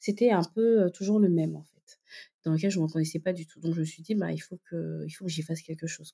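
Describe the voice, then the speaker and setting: A woman's fairly low voice, dark and mellow in tone with ordinary pitch variation, comes through in a very clean recording with a silent background. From Gabon, Libreville. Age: 30s. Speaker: digital marketing consultant. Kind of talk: interview. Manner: hesitant, many fillers.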